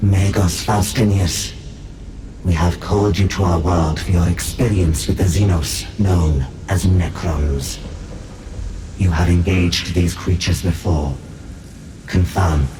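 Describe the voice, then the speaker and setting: Putting on a character voice, a man talks fairly slowly with a very deep, low pitch amid clear background noise. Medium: short film. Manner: clinical, emotionless.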